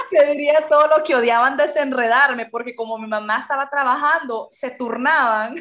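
A woman speaks with a Honduran accent, a high pitch, and a moderate pace. Her intonation is fairly even, but her loudness swings widely. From Honduras. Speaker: Spanish teacher. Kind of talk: interview.

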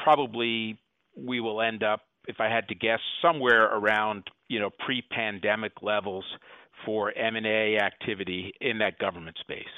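This man has a normal speaking voice with a fairly low pitch. He keeps a moderate pace and fairly even intonation. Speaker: law firm partner advising on mergers. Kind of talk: interview.

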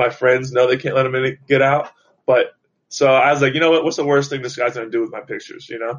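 In an American accent, a man of medium pitch speaks at a very fast pace with monotone, flat intonation. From Florida (Jupiter). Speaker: reality TV personality and model. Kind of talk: casual chat. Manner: halting.

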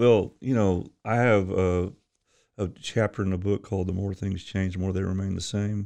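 Against a quiet background, a man with an American accent talks at a moderate pace in a fairly low pitch, his tone dark and mellow and his intonation flat and monotone. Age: 70s. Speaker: youth pastor. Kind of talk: interview.

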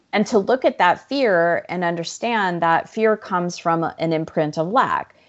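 A woman with an American accent, in a normal speaking voice at medium pitch, with ordinary pitch variation. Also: fairly slow pace. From Arizona. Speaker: life coach and author. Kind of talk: interview conversation.

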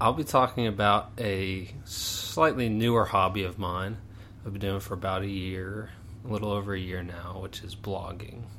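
In an American accent, a man speaks with a fairly low pitch, a bright, sharp tone and fairly even intonation, with big swings in loudness and audible room echo. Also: moderate pace. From Pittsburgh, Pennsylvania. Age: 20s. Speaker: podcast host, engineer and part-time pilot. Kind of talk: casual interview.

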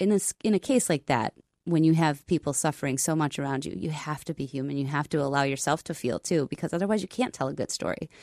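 A woman talks at a very fast pace in a very deep, low pitch with a dark, mellow tone. The sound is dry and close with no echo, and the background is quiet. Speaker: meteorologist.

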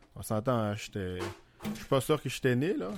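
Delivered at a fairly slow pace, the speech has music behind it. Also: man. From Haiti. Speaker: podcast guest. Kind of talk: casual chat.

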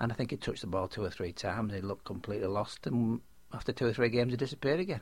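Speech races along at a very fast pace in a Yorkshire accent. The voice is somewhat breathy, with ordinary pitch variation. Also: man, medium pitch for a man. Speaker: football fan, host's father. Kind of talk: casual chat.

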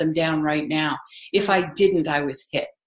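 This is an ordinary speaking voice at a moderate pace. Its pitch variation is ordinary. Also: woman, quiet background. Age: 60s. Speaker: parenting expert. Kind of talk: casual chat.

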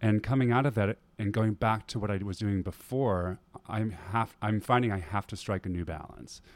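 The recording is very clean, with a silent background. A man speaks at a moderate pace and fairly low pitch. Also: ordinary pitch variation. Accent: American. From US Midwest, Wisconsin. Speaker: Broadway performer and dancer. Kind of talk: casual interview. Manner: hesitant with frequent fillers.

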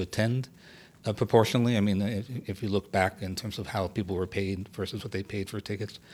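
Over a silent background in a very clean recording, a man talks very fast at a fairly low pitch with fairly even intonation. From US South, Miami. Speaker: theater producer and poet. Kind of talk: casual chat. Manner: halting.

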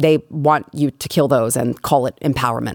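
Very deep and low in pitch, a woman's voice comes across with an animated tone. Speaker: political talk show host. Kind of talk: opinionated political commentary. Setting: studio.

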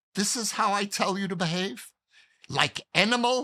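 A man's put-on character voice, high-pitched and raspy, at a moderate pace in a very clean recording with a silent background. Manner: angry, scolding.

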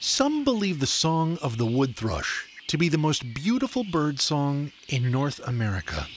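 A man with a normal speaking voice and a fairly high pitch speaks at a fairly slow pace with lively intonation, very even loudness and hardly any pauses. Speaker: nature segment narrator. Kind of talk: scripted narration.

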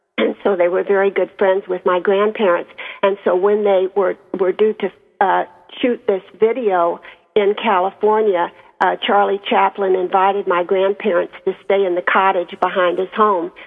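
A woman with an American accent at medium pitch, monotone, flat intonation, very even loudness and a moderate pace, with music in the background. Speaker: circus family author. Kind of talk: radio interview about her book.

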